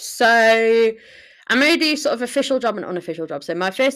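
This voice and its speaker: A woman with a Yorkshire accent speaks with lively intonation on a very clean recording with a silent background. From northern England, Sheffield. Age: 20s. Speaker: podcaster, university student. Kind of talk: casual solo monologue. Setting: living room at home.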